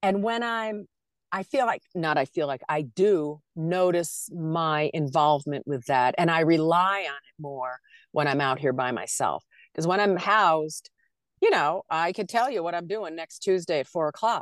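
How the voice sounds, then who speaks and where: A woman speaks in a plain, everyday voice, fairly low-pitched, at a moderate pace with lively intonation. The sound is dry and close with no echo, over a quiet background. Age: 60s. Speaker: nomad traveler living in an SUV. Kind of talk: casual interview chat.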